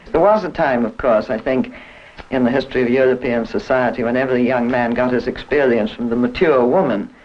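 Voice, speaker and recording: A man's speech comes at a fairly quick pace, with noticeable background noise behind it. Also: medium pitch for a man, ordinary pitch variation. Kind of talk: panel discussion on sex and morality.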